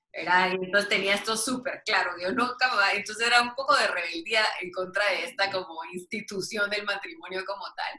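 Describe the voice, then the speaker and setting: Amid noticeable background noise, a woman speaks at medium pitch and a moderate pace with ordinary pitch variation. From Guatemala City. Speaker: business administrator and book author. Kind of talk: interview.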